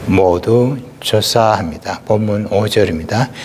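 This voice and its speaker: Speech at a fairly slow pace comes with audible room echo and noticeable background noise. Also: man. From South Korea, Gyeongsang region. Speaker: pastor. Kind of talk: sermon.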